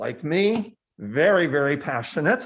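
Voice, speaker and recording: Here is a man with a plain, everyday voice at a fairly slow pace. The background is quiet. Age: 60s. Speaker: public commenter at county board meeting. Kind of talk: public comment.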